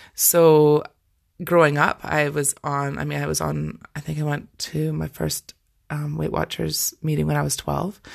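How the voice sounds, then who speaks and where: Spoken at a fairly slow pace in a Scottish accent, the voice sits on a very clean recording with a silent background. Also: woman. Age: 40s. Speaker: life coach and podcast host. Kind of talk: solo podcast monologue. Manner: casual, conversational.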